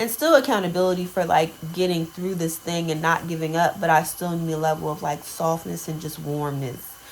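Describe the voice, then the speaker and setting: Through noticeable background noise, a woman with a fairly low pitch talks at a fairly quick pace with hardly any pauses and ordinary pitch variation. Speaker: lifestyle vlogger and photographer. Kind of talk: casual vlog talk to camera. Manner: halting, many fillers.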